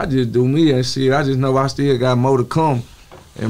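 In a Southern US accent, a man speaks at a fairly quick pace. His medium-pitched delivery is monotone and flat. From Texas. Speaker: rapper; interview guest. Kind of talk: casual chat. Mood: reflective, motivated. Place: studio. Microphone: studio mic.

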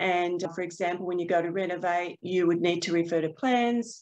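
A woman speaks with an Australian accent at a medium pitch. Her pace is moderate and her pitch varies in an ordinary way. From Queensland, Australia. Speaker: proptech startup co-founder; panelist. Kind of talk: webinar panel discussion. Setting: video call. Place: office. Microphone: webcam.

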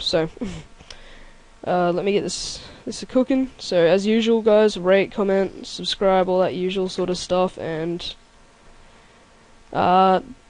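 Fairly slow speech with long, frequent pauses, in an Australian accent. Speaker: let's play gamer. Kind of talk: gameplay commentary. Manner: hesitant, many fillers. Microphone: mic is fine, crackle is the voice.

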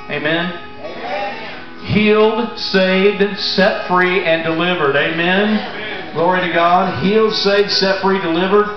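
A man talks fairly slowly at a high pitch, with hardly any pauses. Room echo is audible, and music plays clearly in the background. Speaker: pastor. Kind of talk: sermon to a congregation. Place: tent. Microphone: camera far.

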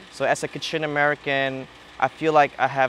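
In a dry recording with no echo and light background noise, a man talks at a moderate pace with monotone, flat intonation. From Burma, moved to US as child. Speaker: student. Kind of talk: interview. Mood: calm, reflective. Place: open country. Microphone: lapel.

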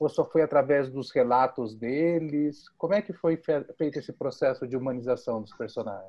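A man with an unremarkable speaking voice talks at a moderate pace with ordinary pitch variation and hardly any pauses. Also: fairly high pitch for a man. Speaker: podcast co-host. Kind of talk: casual interview.

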